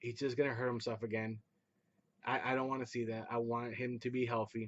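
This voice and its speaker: A man's medium-pitched voice at a moderate pace. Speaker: sports fan vlogger. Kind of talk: casual recap commentary. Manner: subdued, not loud.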